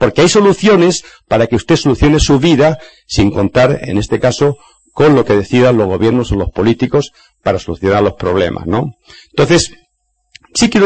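Vocal fry, very wide pitch swings, and a moderate pace. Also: man. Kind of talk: lecture.

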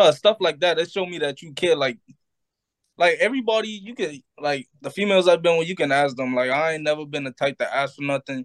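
This man's fairly high voice moves at a fairly quick pace with ordinary pitch variation and big swings in loudness, recorded with a dry, close sound and no echo. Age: 20s. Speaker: podcast co-host. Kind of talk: casual group chat.

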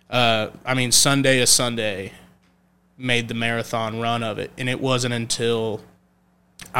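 With a Texan accent, a man talks at a fairly slow pace and medium pitch in a bright, sharp tone, on a very clean recording with a silent background. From North Texas (Olney, Young County). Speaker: country singer-songwriter. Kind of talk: casual chat.

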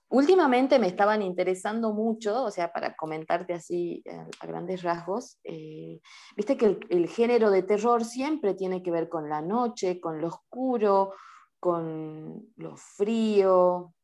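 With a dark, mellow tone and a medium pitch, a woman talks very slowly. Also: ordinary pitch variation. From Salta, Argentina. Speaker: amateur photographer and video artist. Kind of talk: interview.

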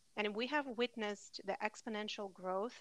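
In a very clean recording with a silent background, a woman with an ordinary speaking voice talks at medium pitch with fairly even intonation. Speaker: podcast host. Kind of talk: casual chat.

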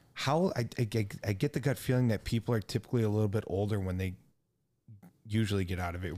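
A man speaks at a very fast pace, his pitch fairly low and his tone dark and mellow. The recording is very clean, with a silent background. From United States. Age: 50s. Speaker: podcast host. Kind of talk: casual interview.

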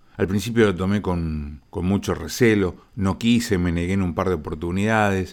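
Recorded very cleanly against a silent background, a man uses a normal speaking voice at a fairly low pitch and a moderate pace. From Argentina, Rosario. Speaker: radio host. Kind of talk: radio broadcast narration.

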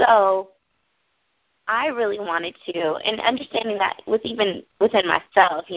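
A woman speaks at a moderate pace in a plain, everyday voice with ordinary pitch variation. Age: 30s. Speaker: makeup artist and motivational author. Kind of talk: interview.

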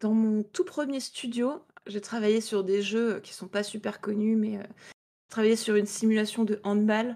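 Fairly high in pitch, a woman speaks with a dark, mellow tone. Her intonation is fairly even and her pace fairly slow. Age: 20s. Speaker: indie game developer. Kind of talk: interview.

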